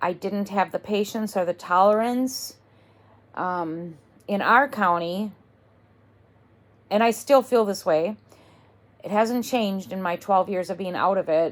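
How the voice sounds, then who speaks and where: Pausing long and often, a woman speaks at a fairly slow pace and medium pitch with ordinary pitch variation. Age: 60s. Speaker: vlogger living with cancer. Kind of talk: casual monologue vlog. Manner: halting, with fillers and repetitions.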